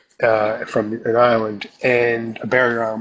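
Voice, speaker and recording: The pace here is very slow. A man delivers it at a medium pitch. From South Jersey, US. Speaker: comic book artist. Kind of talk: casual chat. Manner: animated.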